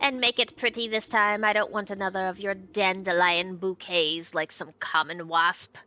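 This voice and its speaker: Using a put-on character voice, a woman speaks at medium pitch and a moderate pace with hardly any pauses. The voice is shrill, and its pitch varies an ordinary amount. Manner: demanding, imperious.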